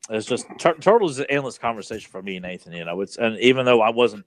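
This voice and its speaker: A man's medium-pitched voice at a very fast pace, with ordinary pitch variation and a dry, close sound with no echo. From rural Virginia, US South. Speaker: podcast co-host. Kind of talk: casual chat.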